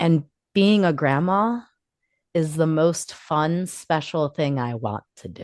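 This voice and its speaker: A woman speaks in a very deep, low pitch. Her pace is very slow. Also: lively intonation, big swings in loudness, quiet background. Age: 40s. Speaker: podcast co-host. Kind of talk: casual chat. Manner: loud.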